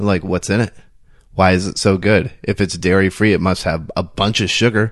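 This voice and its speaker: This is a plain, everyday voice: a man speaking at a moderate pace with a fairly low pitch. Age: 30s. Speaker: podcast host. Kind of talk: casual interview chat. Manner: rambling, filler-heavy.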